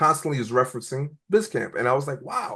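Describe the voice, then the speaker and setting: With a New York accent and a bright, sharp tone, a man speaks at a moderate pace with ordinary pitch variation against a quiet background. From New York (Brooklyn). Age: 40s. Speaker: nonprofit entrepreneurship educator. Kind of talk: interview.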